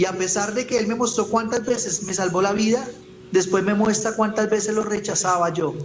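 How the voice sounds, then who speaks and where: Noticeable background noise sits under a man's high voice as he talks at a moderate pace. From Colombia, Ibagué. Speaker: evangelist. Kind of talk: testimony. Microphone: voice heard too quietly.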